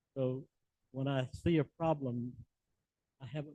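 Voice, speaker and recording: A man's dark, mellow voice at medium pitch with a Southern US accent, monotone, flat intonation and a dry, close sound with no echo. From US South. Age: 80s+. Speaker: business founder and conference speaker. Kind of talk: conference talk.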